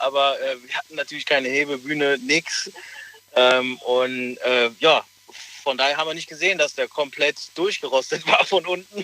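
A man talks at a fairly slow pace with a fairly high pitch. The sound is dry and close with no echo, but there is noticeable background noise. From Germany, Rhineland near Cologne/Leverkusen. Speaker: caller. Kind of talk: phone-in call.

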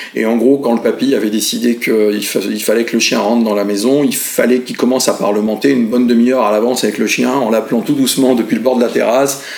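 Noticeable background noise sits under this voice. The pace is very fast and the intonation fairly even. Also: man. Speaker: pet food company founder. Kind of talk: interview. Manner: hesitant with filler sounds.

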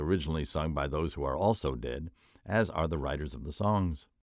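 A man speaks at a fairly quick pace with a very deep, low pitch and vocal fry. The recording is very clean, with a silent background. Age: old. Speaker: writer and essayist. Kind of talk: scripted narration.

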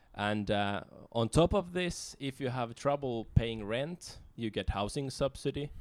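A man with a Finnish accent at a fairly slow pace, with lively intonation, in a very clean recording with a silent background. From Finland. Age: 30s. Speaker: author and activist. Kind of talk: casual interview. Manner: hesitant, many fillers.

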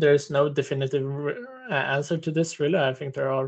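A somewhat breathy man with a Swedish accent and a fairly high pitch. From Stockholm, Sweden. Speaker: game quality designer. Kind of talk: panel discussion.

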